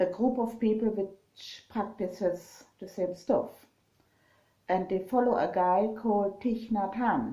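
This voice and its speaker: Speaking very slowly at a medium pitch, a woman with a strong German accent has a dark, mellow tone. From Germany. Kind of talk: casual vlog talk. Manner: halting, many fillers.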